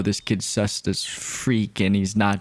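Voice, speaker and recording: A man with noticeable background noise. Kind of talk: comedic movie recap narration. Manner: casual, joking.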